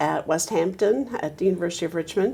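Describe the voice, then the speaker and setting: A woman with an American accent speaks at medium pitch. Her intonation is fairly even, with noticeable background noise behind her. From US South, Roanoke, Virginia. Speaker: retired attorney. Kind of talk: oral history interview. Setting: law office.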